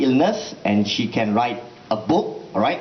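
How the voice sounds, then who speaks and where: A man's voice over noticeable background noise. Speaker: event presenter. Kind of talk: event introduction. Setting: room with student audience, microphone.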